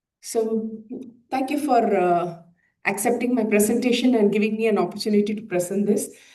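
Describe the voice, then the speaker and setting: Through audible room echo, a woman with a dark, mellow tone and fairly high pitch talks at a moderate pace with fairly even intonation. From India. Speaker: plastic surgeon. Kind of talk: conference presentation. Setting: conference hall with audience. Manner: hesitant, many filler uhs.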